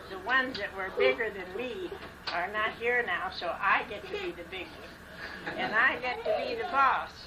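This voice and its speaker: Over noticeable background noise and audible room echo, a woman with an American accent speaks at a high pitch with very wide pitch swings. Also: moderate pace. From Arizona, US Southwest. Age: 80s. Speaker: family elder. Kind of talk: family reminiscing. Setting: family gathering at home.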